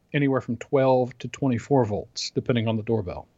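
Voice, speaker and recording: This is a normal speaking voice, going fairly quickly. Pitch shifts in an ordinary way. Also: man. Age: 40s. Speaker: podcast co-host. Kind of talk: casual chat.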